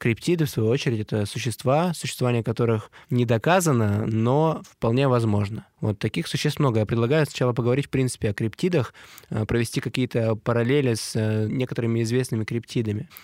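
An unremarkable speaking voice belongs to a man of medium pitch who talks at a fairly quick pace with ordinary pitch variation. His loudness is very even, and the recording is very clean with a silent background. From Siberia. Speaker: podcast co-host. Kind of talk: casual chat.

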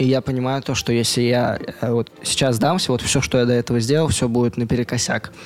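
A man speaks fairly quickly, his intonation fairly even and his loudness very even. Noticeable background noise runs underneath. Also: medium pitch for a man. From Russia, Mari El (Volzhsk). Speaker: youth movement organizer. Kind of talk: interview.

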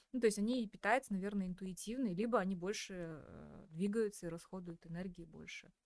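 A woman talks in an unremarkable speaking voice at a fairly quick pace. Her pitch is medium with ordinary variation. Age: 30s. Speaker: podcast host. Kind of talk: interview.

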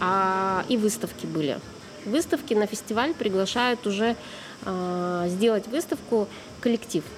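Lively intonation and very even loudness from a woman, broken by long, frequent pauses. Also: medium pitch for a woman, fairly slow pace. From Russia, Tyumen. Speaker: street photographer. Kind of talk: casual chat. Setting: cafe.

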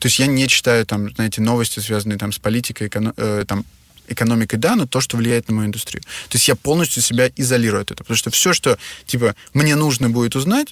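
A man's ordinary speaking voice at medium pitch, dry and close with no echo. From Russia. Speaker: hotel entrepreneur. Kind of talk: interview.

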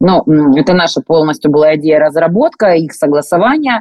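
A woman's fairly low voice at a moderate pace, full of very wide pitch swings. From Rostov region, southern Russia. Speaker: clothing brand co-founder. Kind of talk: interview.

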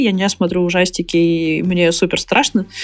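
Delivered at a fairly slow pace, this is a normal speaking voice. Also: woman. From Perm Krai, Russia. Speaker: tech company CEO. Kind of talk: interview. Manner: casual, filler-heavy.

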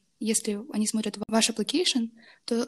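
Her voice somewhat breathy, a woman talks at a fairly quick pace and a fairly high pitch. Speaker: university student and intern. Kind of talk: interview. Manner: hesitant, many fillers.

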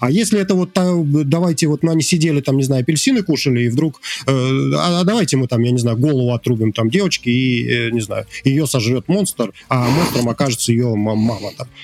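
Over noticeable background noise, a man talks at a fairly quick pace. His medium-pitched voice has lively intonation. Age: 40s. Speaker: indie game developer. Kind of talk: casual chat.

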